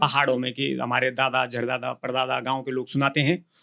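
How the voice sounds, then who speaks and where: A man speaks with vocal fry. His pace is moderate. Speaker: Garhwali folk singer and songwriter. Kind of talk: interview answer.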